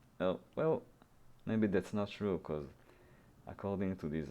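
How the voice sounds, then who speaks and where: A man with a very deep, low pitch speaks in a dark, mellow tone with lively intonation. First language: Hebrew. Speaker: programming YouTuber. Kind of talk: tutorial. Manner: halting, many fillers.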